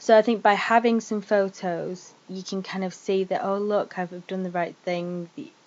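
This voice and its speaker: At a fairly slow pace, a woman talks with a northern English accent. Her pitch is medium and her intonation fairly even. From northern England. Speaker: vlogger. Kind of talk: personal testimony vlog. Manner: casual, hesitant with fillers.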